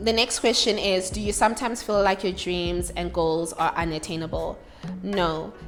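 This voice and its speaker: With music in the background, a woman speaks at a medium pitch. Her pace is moderate and her pitch variation ordinary. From South Africa, Johannesburg (Soweto). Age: 20s. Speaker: YouTuber and content creator. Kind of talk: casual Q&A chat.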